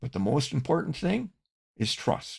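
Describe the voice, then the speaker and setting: A man's voice with vocal fry swings very widely in pitch. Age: 80s+. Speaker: online business coach and podcast host. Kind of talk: scripted podcast monologue.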